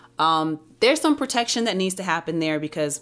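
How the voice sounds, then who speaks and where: A woman's voice over faint music in the background. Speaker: book reviewer. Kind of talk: book review, reading aloud and commentary. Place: home room. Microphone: studio mic.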